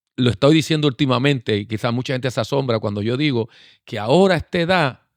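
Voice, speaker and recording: Using a normal speaking voice, a man talks at a fairly quick pace with medium pitch and lively intonation. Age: 60s. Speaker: pastor. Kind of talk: casual chat.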